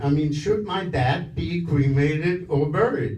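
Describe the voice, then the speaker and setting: A man talks at a fairly slow pace with lively intonation. Audible room echo and noticeable background noise surround him. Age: 70s. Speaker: stand-up comedian. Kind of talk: stand-up. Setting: stage with audience. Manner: halting, many fillers.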